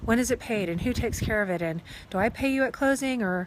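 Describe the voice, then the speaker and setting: Her delivery is very fast. The speaker is a woman whose pitch moves up and down in an ordinary way. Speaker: real estate agent. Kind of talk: casual vlog explanation. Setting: outdoors.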